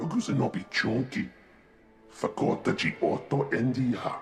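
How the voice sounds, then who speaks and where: A put-on character voice from a man at medium pitch, moderate pace, with clear music in the background. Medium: video game.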